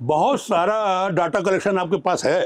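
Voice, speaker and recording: The man speaks with a high pitch. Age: 60s. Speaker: politician, former legislator. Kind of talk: interview. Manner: animated.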